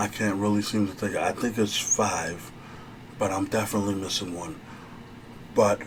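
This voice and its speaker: A soft-spoken man with a fairly low voice over noticeable background noise. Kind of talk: ASMR therapy role play, advice talk.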